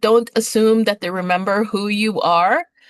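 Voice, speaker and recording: A woman with an unremarkable speaking voice talks at a moderate pace and medium pitch. The background is quiet. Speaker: nursing assistant instructor. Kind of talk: lecture. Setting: video call. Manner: many filler words.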